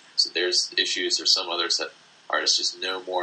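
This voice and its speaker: A man's extremely high voice with an American accent, very fast and full of very wide pitch swings, over noticeable background noise. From US Northeast, Easton, Pennsylvania. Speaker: artist. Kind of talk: interview. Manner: halting.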